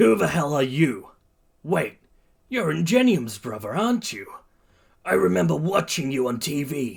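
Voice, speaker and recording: Putting on a raspy character voice, a man speaks at a fairly high pitch with very wide pitch swings, a moderate pace and long, frequent pauses. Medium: read story. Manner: scornful, harsh.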